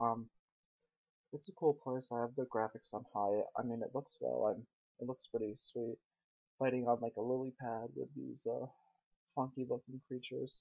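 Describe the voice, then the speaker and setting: A quiet man with a medium pitch speaks at a moderate pace in a monotone, flat way, with long, frequent pauses. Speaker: gaming commentator. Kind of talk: gameplay commentary. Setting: at home late at night. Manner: hesitant, many fillers.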